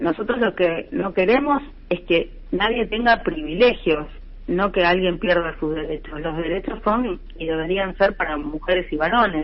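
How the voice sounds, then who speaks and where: A woman with lively intonation talks at a fairly slow pace while noticeable background noise carries on behind her. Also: medium pitch for a woman. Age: 60s. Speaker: lawyer and human rights activist. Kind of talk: radio interview. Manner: many fillers (eh, este).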